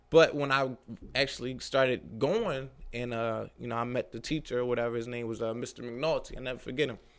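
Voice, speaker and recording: This man talks in an American accent with a medium pitch and fairly even intonation. He moves at a fairly quick pace in an ordinary speaking voice. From Philadelphia, North Philly. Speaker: drywall contractor. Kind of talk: casual interview.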